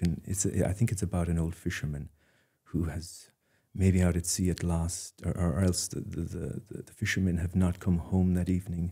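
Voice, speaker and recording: In an Irish accent, a man with a very deep, low pitch and a dark, mellow tone speaks at a moderate pace, somewhat breathy, with fairly even intonation and big swings in loudness. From Ireland, Dingle, County Kerry. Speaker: artist. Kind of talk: interview. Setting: studio. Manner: hesitant, many fillers and repeats.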